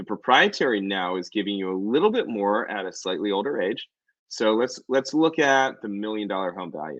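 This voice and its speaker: In an American accent, a man talks at a fairly quick pace and fairly low pitch with lively intonation over a quiet background. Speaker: reverse mortgage loan officer. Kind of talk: explainer presentation with slides. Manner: fast; casual, with fillers.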